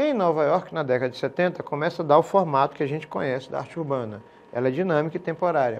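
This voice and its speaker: A man races along at a very fast pace, fairly high in pitch and with ordinary pitch variation. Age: 50s. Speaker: art teacher. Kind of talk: recorded video lesson. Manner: informal with hesitations. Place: studio. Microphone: lapel.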